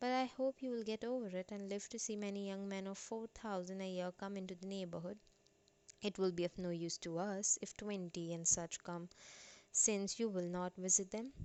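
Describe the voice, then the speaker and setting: A woman with an Indian accent, medium pitch, moderate pace and fairly even intonation. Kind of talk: audiobook narration.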